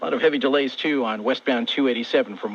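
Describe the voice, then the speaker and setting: Noticeable background noise sits under speech delivered at a very fast pace with very wide pitch swings. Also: man. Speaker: radio traffic reporter. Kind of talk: radio traffic report.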